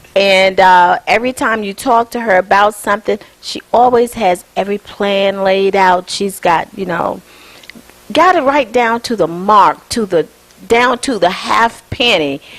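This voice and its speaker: Noticeable background noise sits behind a woman's voice. She speaks at a fairly slow pace in an animated tone. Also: medium pitch for a woman, ordinary pitch variation. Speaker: TV talk show host. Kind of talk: casual TV talk show chat. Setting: guests' home.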